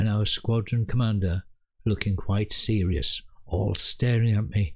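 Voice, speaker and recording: A man speaks in a somewhat breathy voice. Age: 80s+. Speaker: military veteran storyteller. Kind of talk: personal storytelling.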